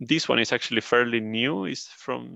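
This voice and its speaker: A man with a Spanish accent and vocal fry speaks at medium pitch in a bright, sharp tone with ordinary pitch variation, the sound dry and close with no echo over a quiet background. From Spain. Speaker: turbulence engineer. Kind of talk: interview.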